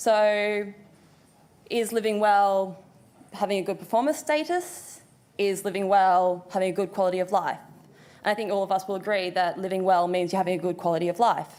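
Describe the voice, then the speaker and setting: A woman at medium pitch, fairly quick pace and fairly even intonation. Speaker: occupational therapist. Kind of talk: conference presentation. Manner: fast.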